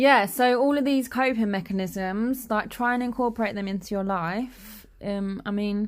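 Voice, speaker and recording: A woman with a London accent, fairly high in pitch with ordinary pitch variation, at a moderate pace with hardly any pauses. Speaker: podcast guest, spoken word poet. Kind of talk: casual chat.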